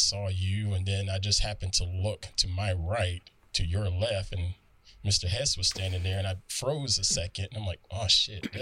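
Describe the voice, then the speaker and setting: Someone speaks at a fairly slow pace with a Southern US accent. The intonation stays fairly even. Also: man, very clean recording, silent background. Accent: Southern US drawl. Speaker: podcast guest. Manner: slow, unhurried speech.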